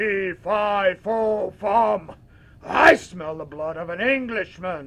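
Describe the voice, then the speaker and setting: A man uses a put-on character voice, pitched high. He speaks at a very slow pace. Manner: menacing, booming.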